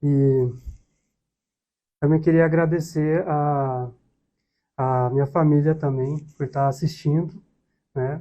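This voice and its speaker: Speaking very slowly with long, frequent pauses, a man uses a fairly high pitch and a dark, mellow tone in a monotone, flat delivery. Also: quiet background. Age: 20s. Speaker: podcast co-host, accounting student, civil servant. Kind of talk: casual chat.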